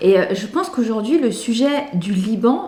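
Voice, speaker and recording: Music plays behind a woman with audible room echo around her. Her fairly high voice has lively intonation at a moderate pace. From France, Lebanese family. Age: 30s. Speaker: comedian. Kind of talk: interview. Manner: hesitant, many 'euh'.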